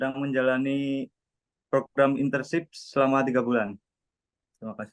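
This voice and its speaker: A man with a medium pitch speaks at a moderate pace and fairly even intonation. His speech has long, frequent pauses, and the sound is dry and close with no echo. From Central Java, Indonesia (Cilacap). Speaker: overseas work trainee. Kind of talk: interview self-introduction.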